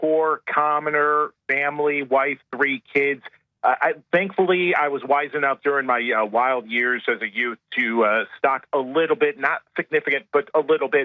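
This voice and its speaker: With an American accent, a man with a fairly high pitch talks in an unremarkable speaking voice, showing ordinary pitch variation. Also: moderate pace. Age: 30s. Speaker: caller. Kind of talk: radio call-in.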